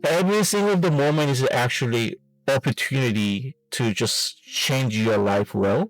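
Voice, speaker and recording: This speaker has a Korean accent, very wide pitch swings, very even loudness, and a dry, close sound with no echo. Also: man, medium pitch for a man, fairly slow pace. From South Korea. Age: 40s. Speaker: fitness vlogger and amateur bodybuilder. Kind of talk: casual vlog monologue. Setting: in a car. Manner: halting.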